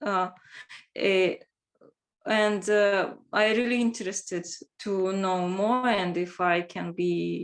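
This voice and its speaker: With a Russian accent, a woman speaks at a very slow pace with long, frequent pauses. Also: medium pitch for a woman, fairly even intonation. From Russia, Moscow. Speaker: language teacher. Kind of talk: self-introduction in group video chat. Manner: halting.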